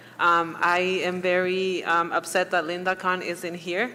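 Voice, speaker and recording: A woman with a Spanish accent talks at a medium pitch with monotone, flat intonation. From Mexico. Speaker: public commenter at school board meeting. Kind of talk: public comment.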